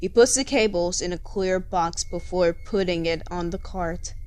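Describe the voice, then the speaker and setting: With music in the background, a woman speaks at a fairly slow pace in a medium-pitched voice with fairly even intonation. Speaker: fanfiction narrator. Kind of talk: fiction reading.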